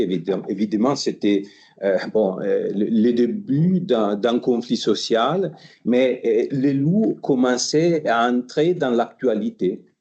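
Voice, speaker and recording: Very slowly, a man with an Italian accent talks at a medium pitch with lively intonation. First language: Italian (speaking French). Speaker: history professor. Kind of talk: lecture. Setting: conference hall with audience. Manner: halting, repeats words.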